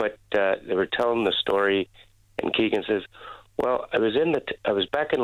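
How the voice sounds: A man's fairly low voice with a fairly bright tone, ordinary pitch variation and a moderate pace.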